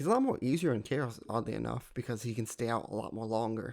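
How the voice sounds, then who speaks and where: A very fast, medium-pitched man's voice with vocal fry, on a very clean recording with a silent background. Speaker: gaming youtuber. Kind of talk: gameplay commentary. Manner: casual, rambling with hesitations.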